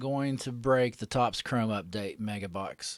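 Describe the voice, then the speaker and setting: In a very clean recording with a silent background, a man speaks with ordinary pitch variation. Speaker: card break livestream host. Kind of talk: casual livestream chat. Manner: casual, many fillers.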